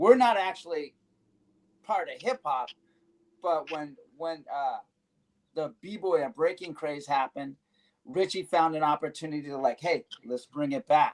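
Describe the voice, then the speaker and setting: Fairly slow, lively speech from a man with a fairly high voice, long, frequent pauses, and a dry, close sound with no echo. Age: 60s. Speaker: veteran locking dancer. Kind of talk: casual panel discussion. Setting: live stream.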